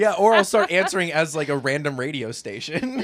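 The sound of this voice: A man's fairly quick, high-pitched voice with very wide pitch swings, big jumps in loudness, and noticeable background noise.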